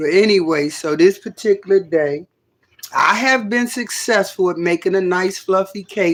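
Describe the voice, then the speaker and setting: At a moderate pace, a woman speaks in an animated tone at a medium pitch with ordinary pitch variation. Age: 60s. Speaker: livestreamer. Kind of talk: casual livestream chat. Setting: home livestream.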